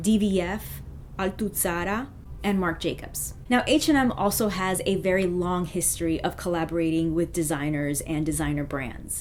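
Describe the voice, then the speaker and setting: At a moderate pace, a woman talks in a fairly low voice with ordinary pitch variation. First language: not French; English speaker. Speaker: fashion YouTuber. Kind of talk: vlog commentary.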